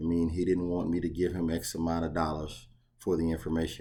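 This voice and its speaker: A man talks at a fairly quick pace in a very deep, low voice with a dark, mellow tone. Audible room echo surrounds him. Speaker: box truck owner operator and YouTuber. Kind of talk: casual vlog talk. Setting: outdoors facing the ocean, on vacation.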